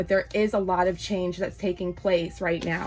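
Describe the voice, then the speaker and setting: Speech comes at a fairly brisk clip, with noticeable noise in the background. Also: woman. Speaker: tarot card reader. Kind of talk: tarot reading. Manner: animated.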